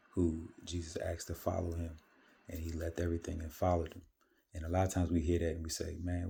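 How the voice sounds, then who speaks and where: Quiet and somewhat breathy, the voice has a dark, mellow tone and a monotone, flat delivery on a very clean recording with a silent background. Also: man. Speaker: vlogger sharing fasting and faith reflections. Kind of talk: casual monologue vlog. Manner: quiet, kept low; hesitant with many fillers.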